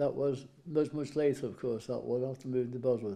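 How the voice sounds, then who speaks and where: A man with a Welsh accent speaks at medium pitch with a dark, mellow tone. His pace is moderate and his pitch variation ordinary. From Wales. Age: 80s+. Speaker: farmer and war veteran. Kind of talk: interview. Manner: halting.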